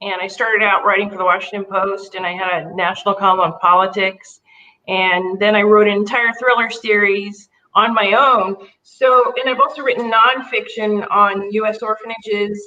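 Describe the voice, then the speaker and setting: At a moderate pace and medium pitch, a woman talks with ordinary pitch variation in an ordinary speaking voice. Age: 60s. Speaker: author. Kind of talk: casual chat.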